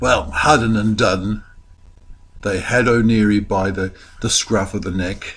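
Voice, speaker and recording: Fairly low in pitch, this is a man's voice. He talks at a fairly slow pace. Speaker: storyteller. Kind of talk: folktale storytelling for children.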